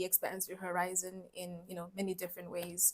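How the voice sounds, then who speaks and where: A woman with a Namibian accent talks at a moderate pace. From Namibia and Brazil, later UK. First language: Oshiwambo. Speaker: mining engineer and startup founder. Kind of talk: podcast interview.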